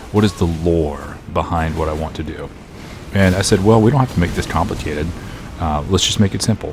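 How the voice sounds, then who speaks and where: A man with a very deep, low pitch talks quietly at a fairly quick pace, with ordinary pitch variation and music in the background. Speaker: gaming youtuber. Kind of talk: casual commentary. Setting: home recording setup. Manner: quiet, subdued.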